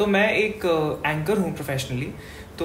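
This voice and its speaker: A woman speaks at a moderate pace in a very deep, low voice with ordinary pitch variation. Noticeable background noise and audible room echo surround her. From Rajasthan, India (Bikaner). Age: 20s. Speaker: event anchor and actor. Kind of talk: interview. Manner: hesitant, many fillers.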